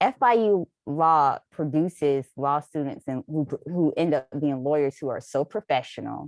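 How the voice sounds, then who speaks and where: Speaking with a North Florida accent, a woman with a very deep, low pitch moves at a fairly slow pace with hardly any pauses and ordinary pitch variation, in a very clean, dry, close recording with a silent background and no echo. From North Florida, Jacksonville. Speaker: lawyer, law school alumna. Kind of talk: panel discussion.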